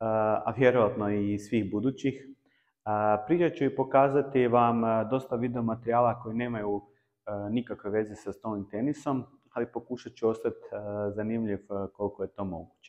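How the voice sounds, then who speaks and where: This man's voice sits at a medium pitch. He keeps a moderate pace and fairly even intonation. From Croatia. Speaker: table tennis YouTuber. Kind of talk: personal vlog talk. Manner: halting with many filler sounds.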